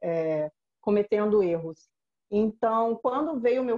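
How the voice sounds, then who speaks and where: The speech has a dark, mellow tone, a moderate pace and a dry, close sound with no echo. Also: woman. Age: 30s. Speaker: digital marketing specialist. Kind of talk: interview.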